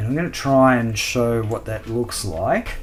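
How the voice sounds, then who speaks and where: A man with an Australian accent at medium pitch, moderate pace and fairly even intonation, over noticeable background noise. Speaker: scale model builder, video host. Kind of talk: hobby tutorial. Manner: casual, many fillers.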